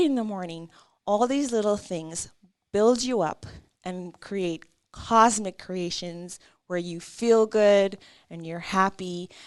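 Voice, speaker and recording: In a French accent, a woman speaks at a medium pitch with ordinary pitch variation against a quiet background. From Caribbean. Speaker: artist and small business owner. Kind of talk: interview.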